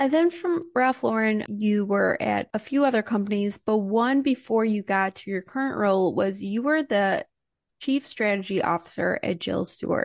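A plain, everyday voice: a fairly high-pitched woman with lively intonation at a moderate pace, in a dry, close sound with no echo and a quiet background. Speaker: podcast host. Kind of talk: interview.

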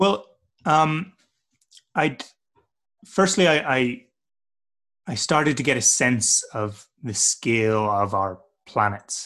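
Speaking at a very slow pace with long, frequent pauses, a man with a medium pitch and a bright, sharp tone makes very wide pitch swings. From Northern Ireland. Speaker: adventurer and trail builder. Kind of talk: interview. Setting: video call.

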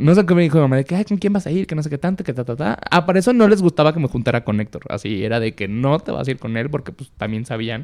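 Racing at a very fast pace, a man speaks with a fairly high pitch and very wide pitch swings. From Mexico, Tepic, Nayarit. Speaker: podcast guest sharing coming-out story. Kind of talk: casual chat, personal testimony.

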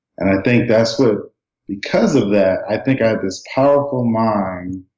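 Dark and mellow in tone, a man with an American accent speaks at a fairly low pitch with ordinary pitch variation. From US, northern New Jersey (Passaic). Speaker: leadership coach and speaker. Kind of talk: interview conversation.

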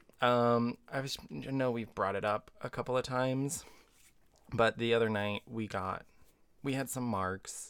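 This man talks at a fairly slow pace with fairly even intonation and a medium pitch. The recording is very clean, with a silent background. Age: 20s. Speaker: podcast co-host. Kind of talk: casual chat. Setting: studio. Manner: loud.

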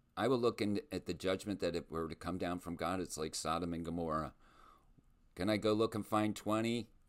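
Here a man talks with a very deep, low pitch and ordinary pitch variation at a fairly quick pace. The recording is very clean with a silent background. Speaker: podcast host and school-district advocate. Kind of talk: solo monologue podcast. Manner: passionate, emphatic; halting with repeated words.

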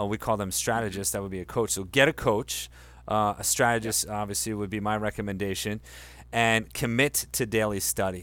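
A man's fairly quick speech with an American accent and fairly even intonation, an unremarkable speaking voice on a very clean recording with a silent background. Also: fairly low pitch for a man. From Delaware, US. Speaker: life coach and school co-founder. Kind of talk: interview.

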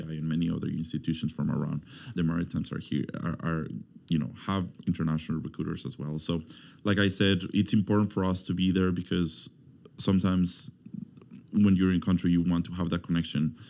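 A man speaks with a Spanish accent in a very deep, low pitch. His intonation is fairly even and his pace very fast. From Mexico, Veracruz. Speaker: university student recruitment officer. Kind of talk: interview.

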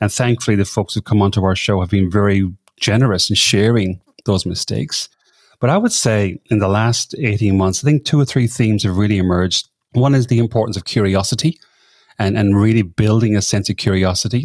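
A man with a slight Irish accent speaks at a fairly quick pace with ordinary pitch variation and very even loudness, in a very clean recording with a silent background and a dry, close sound with no echo. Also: fairly low pitch for a man. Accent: Irish, slight after decades in Australia. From Ireland. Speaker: podcaster and leadership coach. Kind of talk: casual interview chat.

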